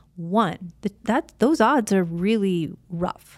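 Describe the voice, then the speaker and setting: This is an unremarkable speaking voice with an American accent and ordinary pitch variation. The recording is very clean, with a silent background. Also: woman. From US Midwest (Illinois). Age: 50s. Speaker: podcast host, former wrestler and actress. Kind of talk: casual chat.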